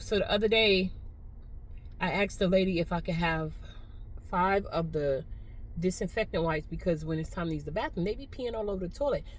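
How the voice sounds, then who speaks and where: Audible room echo surrounds a woman talking at a moderate pace with a medium pitch. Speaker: vlogger. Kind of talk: casual vlog monologue. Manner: chatty, conversational.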